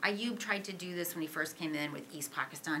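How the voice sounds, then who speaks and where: Talking very fast with lively intonation, a woman with an American accent is heard amid audible room echo and noticeable background noise. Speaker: author and Pakistan military expert. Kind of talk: Q&A answer at policy panel. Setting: auditorium with audience.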